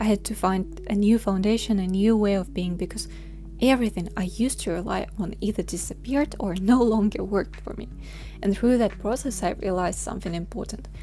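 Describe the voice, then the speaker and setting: A woman with a Russian accent speaks at a fairly quick pace over noticeable background noise. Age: 20s. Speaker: vlogger. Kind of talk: personal vlog reflection.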